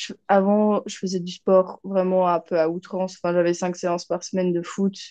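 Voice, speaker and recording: Against a quiet background, a woman with a dark, mellow tone speaks at medium pitch and moderate pace in a monotone, flat intonation. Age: 20s. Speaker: medical student and coaching client. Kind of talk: testimonial interview. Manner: hesitant, many fillers.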